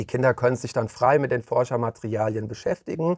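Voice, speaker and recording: A man with a plain, everyday voice speaks at a medium pitch with ordinary pitch variation, the sound dry and close with no echo against a quiet background. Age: 30s. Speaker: daycare centre director. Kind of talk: interview.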